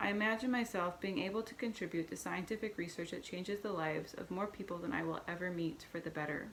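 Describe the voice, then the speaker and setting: A woman speaks at a fairly quick pace. Noticeable background noise is present. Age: 30s. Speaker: person sharing health story. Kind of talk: reading aloud. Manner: halting.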